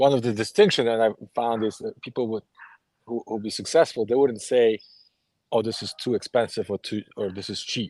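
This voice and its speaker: A man with a Polish accent at a fairly quick pace and with fairly even intonation, a dry, close sound with no echo, and a quiet background. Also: medium pitch for a man. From Poland. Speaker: author, ex-Jehovah's Witness. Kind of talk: group discussion.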